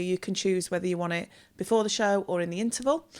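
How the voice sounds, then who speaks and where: Speaking in a West Midlands accent, a woman holds a medium pitch with fairly even intonation. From West Midlands, near Wolverhampton. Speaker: theatre bar and catering staff. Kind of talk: casual chat.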